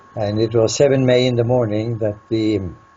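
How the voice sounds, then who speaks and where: A man talks at a moderate pace in a monotone, flat delivery, with noticeable background noise behind him. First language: Norwegian. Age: 80s+. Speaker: peace researcher. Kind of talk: interview answer.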